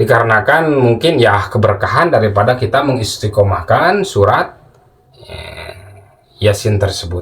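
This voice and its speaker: Against noticeable background noise, a man with a Sundanese accent speaks at a moderate pace and medium pitch, with lively intonation and big swings in loudness. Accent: Sundanese-accented Indonesian. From West Java, Sundanese. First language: Sundanese (speaking Indonesian). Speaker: Islamic spiritual teacher, channel owner. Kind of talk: casual religious talk to viewers. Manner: halting, many fillers.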